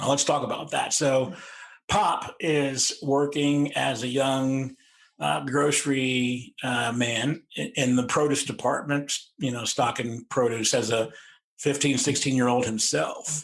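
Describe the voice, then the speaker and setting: Speaking at a fairly slow pace, a man with a medium pitch and fairly even intonation has an unremarkable speaking voice. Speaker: podcast host. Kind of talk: interview questions.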